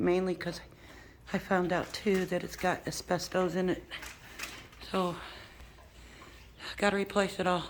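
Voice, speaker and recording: A woman talks at medium pitch and a moderate pace. Her intonation is monotone and flat, broken by long, frequent pauses. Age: 60s. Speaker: homeowner seeking fundraiser help. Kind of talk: casual walkthrough talk to camera. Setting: outdoors.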